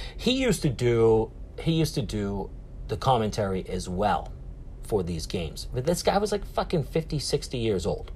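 With a Boston accent, a man speaks in an animated tone at a moderate pace. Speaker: podcast host. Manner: loud, animated.

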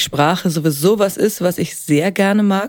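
The recording is very clean, and the background is silent. A woman speaks there at a fairly slow pace. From Upper Franconia, Bavaria (Helmbrechts near Hof). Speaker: actress and singer. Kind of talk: casual interview. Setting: studio.

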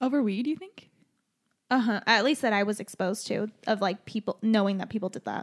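A woman with a Western US accent and a fairly high pitch talks at a fairly quick pace in an animated tone with ordinary pitch variation. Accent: general American, western US. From Utah, moved from Chile at age 4. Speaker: podcast co-host. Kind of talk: casual chat. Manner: animated, laughs often.

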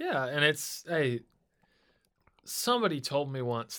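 A man with an American accent, a bright, sharp tone and a fairly high pitch. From US Midwest, Cincinnati. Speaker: music producer and songwriter. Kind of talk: casual chat. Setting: studio.

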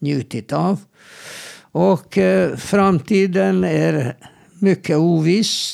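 Moving at a very slow pace, a man's voice makes very wide pitch swings. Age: old. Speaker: clinical psychologist. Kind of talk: advice-giving interview. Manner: halting, repeats words.

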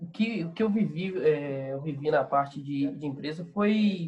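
In an unremarkable speaking voice, a man talks with lively intonation at a fairly high pitch. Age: 20s. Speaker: ad agency owner and entrepreneur. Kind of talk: casual interview chat.

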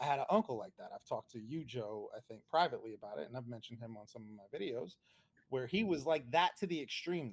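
With an American accent, a man talks at a very fast pace and swings his pitch very widely. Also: medium pitch for a man, big swings in loudness. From New Jersey. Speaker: podcast host. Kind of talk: casual chat. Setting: video call.

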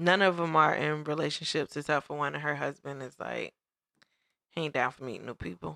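A woman's very deep, low pitch with vocal fry and a bright, sharp tone, fairly quick pace, ordinary pitch variation and big swings in loudness, in a dry, close sound with no echo. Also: very clean recording, silent background. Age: 30s. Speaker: podcast co-host. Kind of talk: casual chat.

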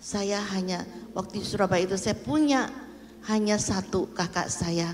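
Over music in the background and with audible room echo, a woman talks at a fairly slow pace. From Indonesia, Jakarta. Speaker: pastor's mother. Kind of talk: testimony. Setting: church.

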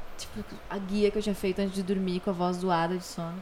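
A woman talks at a very fast pace. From Rio Grande do Sul, Brazil (Torres, Porto Alegre). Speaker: singer-songwriter and voice actress. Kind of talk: casual interview. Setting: host's home.

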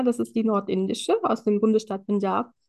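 A woman is talking here. Her pace is fairly quick. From Germany, Indian family. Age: 20s. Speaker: empowerment coach and social worker. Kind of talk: casual interview chat.

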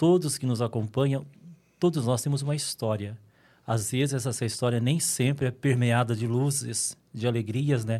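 A man's medium-pitched voice with a dark, mellow tone and calm tone, moderate pace, and ordinary pitch variation, on a very clean recording with a silent background. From northern Minas Gerais, Brazil. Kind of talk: interview conversation.

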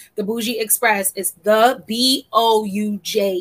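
The tone of this woman's voice is bright and sharp. She keeps her intonation fairly even. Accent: American. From New York City. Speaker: podcast co-host and content creator. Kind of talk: casual chat.

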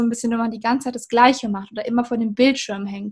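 Captured in a very clean recording with a silent background, a woman speaks at a fairly high pitch. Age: 20s. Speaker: university student. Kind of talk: interview about studying.

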